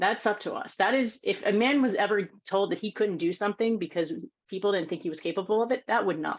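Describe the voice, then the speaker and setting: This woman talks at a very fast pace. Her pitch is medium, with ordinary pitch variation. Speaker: women's rights advocate. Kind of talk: panel Q&A talk.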